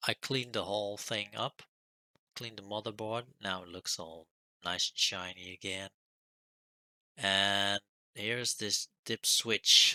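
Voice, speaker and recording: The speech is mumbled at a very slow pace, with long, frequent pauses and fairly even intonation. The tone is bright and sharp, and the sound is dry and close with no echo. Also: man. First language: not French; non-native English speaker. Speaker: retro computer hobbyist youtuber. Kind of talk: tutorial. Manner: mumbling.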